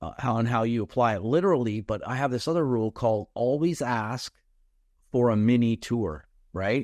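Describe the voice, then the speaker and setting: A man's medium-pitched voice with ordinary pitch variation, dry and close with no echo, over a quiet background. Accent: Canadian. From Canada. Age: 60s. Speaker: sales coach. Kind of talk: podcast interview. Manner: halting, many fillers.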